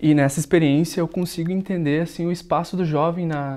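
A man's voice sits at a high pitch, with a dark, mellow tone. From Rio Grande do Sul, Brazil (Montenegro); Rio Grande do Sul, Brazil. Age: 20s. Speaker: local election candidate, psychology student; election candidate. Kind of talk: candidate interview. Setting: studio. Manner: hesitant, frequent filler sounds. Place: studio. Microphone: lapel.

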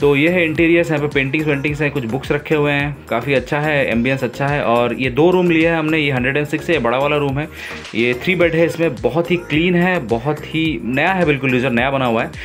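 With faint music in the background, a man talks with hardly any pauses and fairly even intonation. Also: moderate pace. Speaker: travel vlogger. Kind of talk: casual vlog chat. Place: home room. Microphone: phone near.

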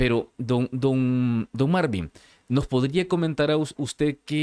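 In a quiet background, a man talks at a very slow pace. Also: dry sound with no echo. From El Salvador, San Salvador. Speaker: podcast host. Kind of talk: interview. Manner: halting, repeats words. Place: studio. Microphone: studio mic.

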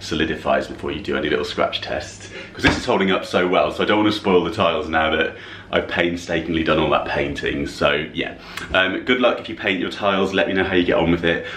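Amid audible room echo and light background noise, a man speaks at a very fast pace. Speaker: home decor vlogger. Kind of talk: casual vlog chat. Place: kitchen. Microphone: phone near.

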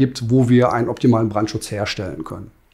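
The background is silent apart from the speaker. His is a man's voice with a dark, mellow tone. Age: 40s. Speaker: master plumber and heating installer, business owner. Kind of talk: interview. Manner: hesitant, many filler sounds. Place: office. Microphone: lapel.

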